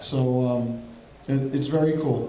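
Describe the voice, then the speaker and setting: A man with an American accent speaks over noticeable background noise, and there is audible echo in the room. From Brooklyn, New York. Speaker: pinball company owner. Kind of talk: conference presentation. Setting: stage with audience.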